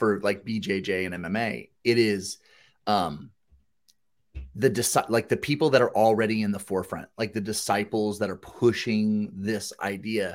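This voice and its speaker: A man with an ordinary speaking voice talks at fairly low pitch and a moderate pace, with ordinary pitch variation. The recording is very clean, with a silent background. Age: 30s. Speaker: gym business podcast co-host. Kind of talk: casual chat.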